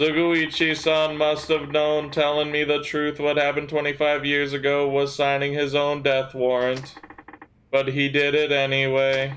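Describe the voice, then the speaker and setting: A man uses a put-on character voice, fairly high in pitch, at a moderate pace. His intonation stays monotone and flat. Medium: game stream.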